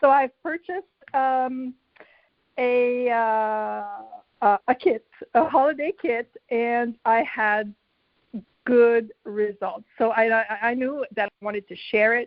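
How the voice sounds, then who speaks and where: A woman's high voice in a French accent, very slow, with long, frequent pauses and ordinary pitch variation. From Quebec, Canada. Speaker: direct sales team member. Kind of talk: personal testimony.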